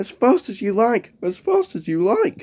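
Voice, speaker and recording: A man does a put-on character voice, pitched high. It has very wide pitch swings at a moderate pace. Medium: read story.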